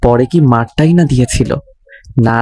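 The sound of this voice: An unforced reading voice moves along with ordinary pitch variation.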